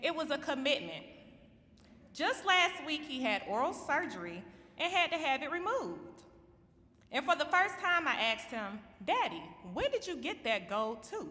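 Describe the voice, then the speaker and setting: In a Georgia accent, a woman projects a raised, high voice with a bright, sharp tone, moderate pace, very wide pitch swings and long, frequent pauses. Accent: Georgia Southern accent, noticeable. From Georgia, US. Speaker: assistant principal. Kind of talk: ceremony speech.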